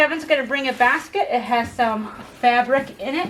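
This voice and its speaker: A woman's high voice at a moderate pace over noticeable background noise. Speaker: herbal remedies class teacher. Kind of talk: hands-on class instruction.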